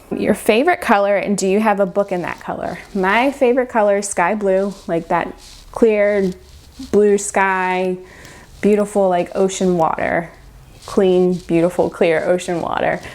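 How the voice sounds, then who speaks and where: A woman talks fairly slowly, her intonation fairly even. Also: medium pitch for a woman. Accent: Mid-Atlantic American. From Maryland, Baltimore area. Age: 40s. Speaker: book vlogger. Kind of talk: casual Q&A vlog. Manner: chatty, casual with fillers.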